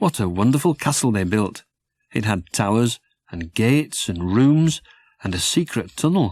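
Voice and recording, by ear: A man speaks at a fairly low pitch with lively intonation. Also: slightly mellow tone.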